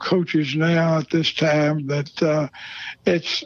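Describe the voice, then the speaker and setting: A man's fairly high-pitched voice, fairly slow in pace, against noticeable background noise. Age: 80s+. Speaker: retired football coach. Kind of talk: interview. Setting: outdoors at a bar.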